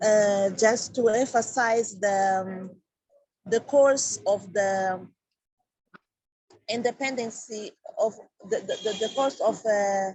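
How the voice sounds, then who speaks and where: Somewhat breathy and fairly high-pitched, a woman speaks very slowly, with long, frequent pauses and ordinary pitch variation. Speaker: community representative. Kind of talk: country report at an online meeting. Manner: halting, many fillers and repetitions.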